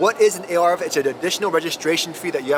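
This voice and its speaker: A high-pitched man with an American accent speaks in an animated tone with ordinary pitch variation, the sound dry with no echo but noticeable background noise. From United States. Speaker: car YouTuber. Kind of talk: casual vlog review. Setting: inside a car at a showroom. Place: car. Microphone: phone near.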